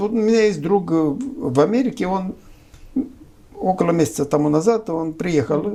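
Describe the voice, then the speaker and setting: A man with a Romanian accent talks at a moderate pace in a high voice, his intonation lively and his speech broken by long, frequent pauses. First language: Romanian (speaking Russian). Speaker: political analyst. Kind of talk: political discussion interview. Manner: hesitant, with filler sounds.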